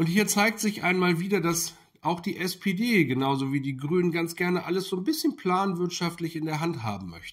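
A man talks at a moderate pace. His pitch is high, with ordinary variation. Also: quiet background. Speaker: political commentary YouTuber. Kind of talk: video commentary monologue. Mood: critical, indignant. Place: kitchen.

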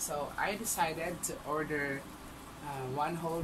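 Speech comes at a fairly slow pace. Loud background noise sits behind it. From Visayas, Philippines. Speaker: mukbang vlogger. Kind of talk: casual talk to camera. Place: home room. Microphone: webcam.

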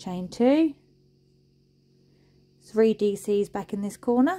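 A woman's medium-pitched voice, slow in pace, with a dark, mellow tone and lively intonation

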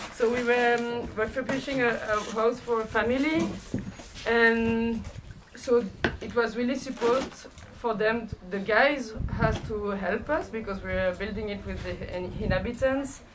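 Noticeable background noise under a woman's fairly even intonation. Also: moderate pace. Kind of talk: interview answer. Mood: amused, warm. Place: workshop.

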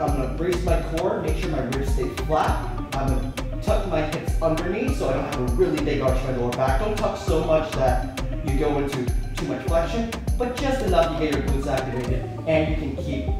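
Clear music plays in the background and the room echo is audible as a man talks at a fairly quick pace. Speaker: fitness trainer. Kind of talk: tutorial. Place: gym. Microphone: camera far.

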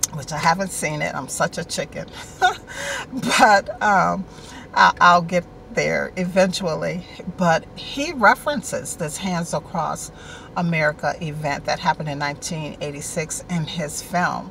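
At a fairly slow pace, a woman talks with ordinary pitch variation in a dry sound with no echo, over light background noise. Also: fairly low pitch for a woman. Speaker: online show host. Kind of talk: casual vlog chat. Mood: warm, friendly. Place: car. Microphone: phone near.

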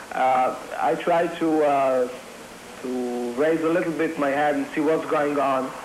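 Against light background noise and audible room echo, a man speaks at a fairly slow pace and fairly high pitch with fairly even intonation. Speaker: freed hostage. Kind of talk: eyewitness testimony. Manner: halting, frequent uh fillers. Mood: recounting dramatic rescue. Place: home room.

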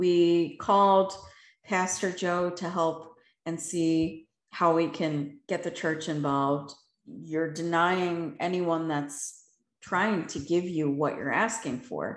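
At a very slow pace, a woman speaks with a fairly low pitch and fairly even intonation. Room echo is audible over a quiet background. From Philadelphia, US. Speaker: motivational speaker and life coach; motivational speaker, life coach. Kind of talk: Q&A answers; talk with personal testimony. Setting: video call. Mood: earnest, reflective. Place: home room. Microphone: video call.

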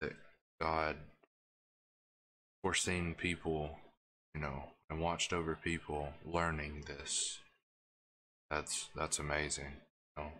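Against a quiet background, a man speaks very slowly in a very deep, low voice that has a bright, sharp tone and monotone, flat intonation. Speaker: gaming streamer. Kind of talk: live gameplay stream chat. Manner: quiet and hushed. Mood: earnest, reflective. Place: home room.

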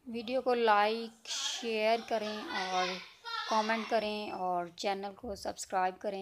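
Over noticeable background noise, the speech moves at a very slow pace with fairly even intonation and big swings in loudness. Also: woman. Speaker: cooking vlogger. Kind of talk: cooking tutorial. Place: kitchen. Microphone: phone near.

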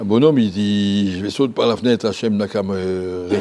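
The man's voice has a fairly low pitch and a dark, mellow tone. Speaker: Torah teacher and yeshiva head. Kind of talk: Torah lesson. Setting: yeshiva classroom. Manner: halting, conversational, repeats and self-corrects. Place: hall. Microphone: lapel.

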